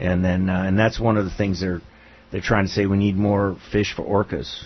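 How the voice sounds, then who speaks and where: A man delivers his words at a moderate pace in a monotone, flat intonation. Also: fairly low pitch for a man. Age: 60s. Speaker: local radio talk show host. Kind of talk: casual radio chat.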